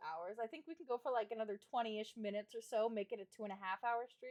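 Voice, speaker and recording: A woman with lively intonation and an animated tone, fairly high in pitch, at a fairly quick pace. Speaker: vtuber streamer. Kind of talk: casual chat. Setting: home livestream. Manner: loud.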